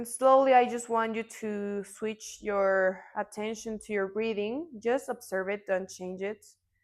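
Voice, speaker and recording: In a calm tone and a Mexican accent, a woman speaks at a fairly slow pace with a fairly high pitch and fairly even intonation, in a very clean recording with a silent background. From Mexico. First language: Spanish. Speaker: yoga teacher. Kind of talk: yoga class instruction. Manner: slow, calm guiding.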